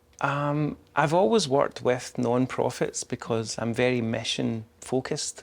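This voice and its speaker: With a Scottish accent, a man talks at a medium pitch with fairly even intonation. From Scotland. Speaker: public information officer. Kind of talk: interview. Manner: halting, many fillers.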